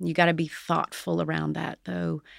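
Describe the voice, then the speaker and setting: A dry, close sound with no echo comes from a very clean recording with a silent background. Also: woman. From West Virginia. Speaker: company executive. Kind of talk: interview.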